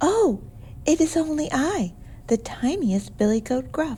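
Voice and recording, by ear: In a put-on character voice, a female-sounding speaker talks slowly-ish at a fairly slow pace and a high pitch, over clear background noise.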